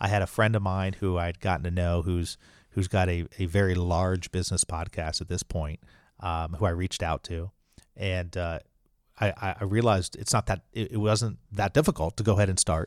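Recorded dry and close with no echo against a silent background in a very clean recording, a man with a very deep, low pitch speaks at a moderate pace with fairly even intonation. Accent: Midwestern US. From Indianapolis, US Midwest. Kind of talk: interview conversation.

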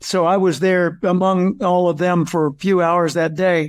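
A man's high voice with fairly even intonation, in a very clean recording with a silent background. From US South, Arkansas. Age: 70s. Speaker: professional speaker and author. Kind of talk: interview.

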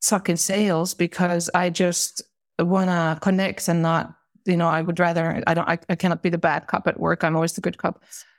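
A woman with a Finnish accent speaks at a fairly low pitch in a monotone, flat intonation, with a dry, close sound with no echo. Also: moderate pace. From Finland. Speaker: corporate manager. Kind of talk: casual chat. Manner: halting.

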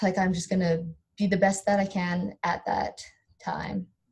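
Speaking in a Canadian accent, a woman with a medium pitch and a dark, mellow tone sounds somewhat breathy, keeping a moderate pace and fairly even intonation. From Canada, rural Alberta. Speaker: professional volleyball player. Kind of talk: interview.

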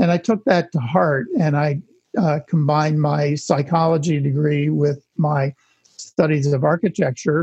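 The voice is somewhat breathy and fairly slow, with ordinary pitch variation. The sound is dry and close, with no echo. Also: man, fairly high pitch for a man. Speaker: architect and author. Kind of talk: casual interview.

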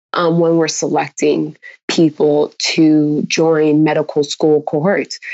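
In a Californian accent, a woman talks at a fairly slow pace. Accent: General American (Californian). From US West, Los Angeles County (San Fernando Valley). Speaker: pre-med student. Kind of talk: interview.

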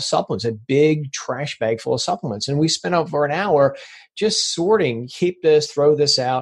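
A man with a fairly high pitch and a somewhat breathy voice talks at a fairly quick pace with lively intonation. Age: 50s. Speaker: supplement expert. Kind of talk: interview.

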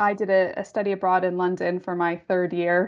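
The speaker uses fairly even intonation and speaks with a western New York accent. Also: woman. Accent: American, western New York. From Western New York State, US. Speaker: pensions actuary. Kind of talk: casual panel conversation.

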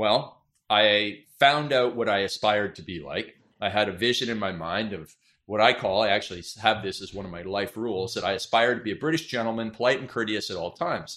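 With a Canadian accent, a man speaks at a fairly quick pace in a fairly low pitch with a bright, sharp tone, on a very clean recording with a silent background. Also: ordinary pitch variation. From Canada. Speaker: business author and marketing coach. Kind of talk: interview.

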